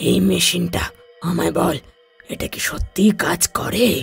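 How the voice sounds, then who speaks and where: In a raspy, cartoonish character voice, a man talks at a moderate pace. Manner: blunt, commanding.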